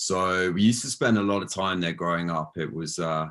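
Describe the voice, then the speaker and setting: In a British accent, the speaker talks at a fairly quick pace with fairly even intonation on a very clean recording with a silent background. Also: man. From southern England, near Brighton. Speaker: founder of a plant-based food company. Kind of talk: interview. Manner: hesitant, many fillers and repeats.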